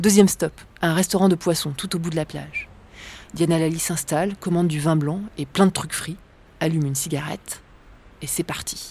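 At a fairly quick pace, a woman speaks with fairly even intonation in a fairly low pitch. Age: 30s. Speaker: documentary reporter and filmmaker. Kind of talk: scripted narration.

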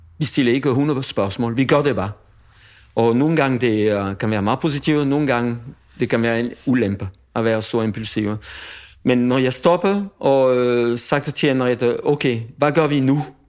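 A man at medium pitch, ordinary pitch variation, a fairly slow pace and a quiet background. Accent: French. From France. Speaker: chef. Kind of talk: casual chat. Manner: halting.

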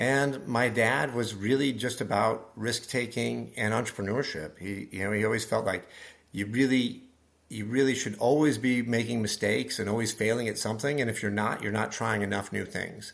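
A man's medium-pitched voice with vocal fry, fairly even intonation and a moderate pace. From Nebraska. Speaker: business executive. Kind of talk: interview. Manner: halting.

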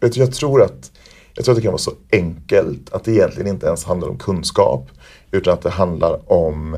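A man talks at a fairly quick pace but stops for long, frequent pauses. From Sweden (Värmland). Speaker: performer, choreographer and teacher. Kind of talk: interview. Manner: hesitant with fillers.

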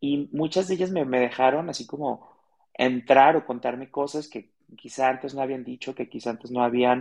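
At a moderate pace, a man speaks at medium pitch. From Mexico, Guadalajara. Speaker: author and radio host. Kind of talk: interview.

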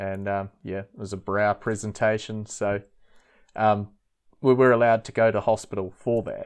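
A man with a New Zealand accent speaks at a moderate pace in a fairly low, monotone voice. The background is quiet. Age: 30s. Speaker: former cult member. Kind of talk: interview testimony. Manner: hesitant, many fillers.

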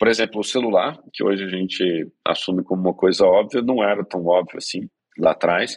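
In a normal speaking voice, a man talks at a fairly quick pace with fairly low pitch and ordinary pitch variation, the sound dry and close with no echo. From Brazil, Minas Gerais (Belo Horizonte). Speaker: startup co-founder and CEO. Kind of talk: interview conversation.

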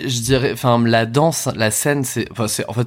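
This is a man's voice on a very clean recording with a silent background. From France, Bordeaux suburbs. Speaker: drag queen and performer. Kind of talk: interview. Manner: halting, many hesitations.

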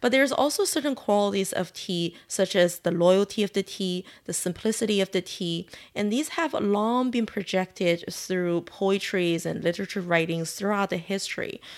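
With a Chinese accent, a woman speaks at a moderate pace and medium pitch with ordinary pitch variation and hardly any pauses. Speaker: tea shop owner. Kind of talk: interview.

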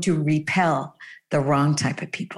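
Somewhat breathy, a woman with a Canadian accent speaks at a moderate pace. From Canada. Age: 50s. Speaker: dating coach. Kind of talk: casual chat.

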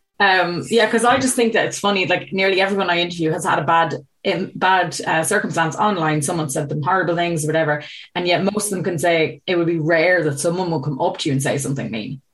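With an Irish accent, a woman talks at a very fast pace, her fairly low pitch showing ordinary variation. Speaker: podcast host. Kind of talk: casual interview chat. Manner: chatty, upbeat.

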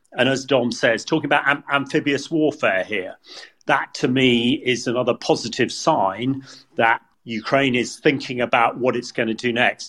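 With a British accent, this man talks at a moderate pace, his medium pitch showing ordinary pitch variation. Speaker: retired military commander. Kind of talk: news analysis discussion.

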